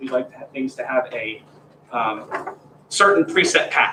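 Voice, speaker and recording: A man at a moderate pace with an American accent, over noticeable background noise. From Pennsylvania. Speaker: graduate teaching assistant. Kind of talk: lecture. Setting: classroom, also streamed. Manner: informal, conversational.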